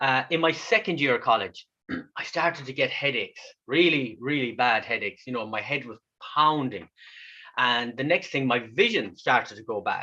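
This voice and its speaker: This man talks at a moderate pace with a fairly high pitch and lively intonation. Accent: Irish. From west of Ireland. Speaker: kidney patient and speaker. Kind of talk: online talk.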